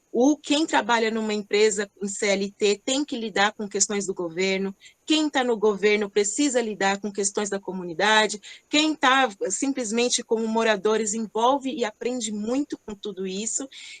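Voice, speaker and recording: A woman's unremarkable speaking voice, fairly high in pitch, with ordinary pitch variation, a moderate pace, and a dry, close sound with no echo. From Greater São Paulo, Brazil (Rio Grande da Serra). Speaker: entrepreneur, company CEO. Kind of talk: online panel discussion. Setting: online event.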